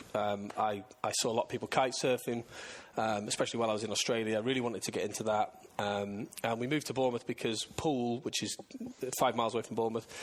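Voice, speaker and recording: In a northern English accent, a man speaks very fast at a medium pitch, his intonation monotone and flat. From northern England, Scunthorpe. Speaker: plumbing and heating business owner. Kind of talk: casual interview chat. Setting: business showroom.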